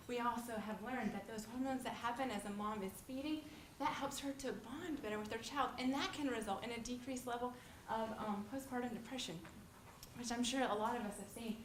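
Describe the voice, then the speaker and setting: A woman with a high pitch and ordinary pitch variation talks at a fairly quick pace, with audible room echo and noticeable background noise. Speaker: nursing student presenter. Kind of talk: lecture. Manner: fast.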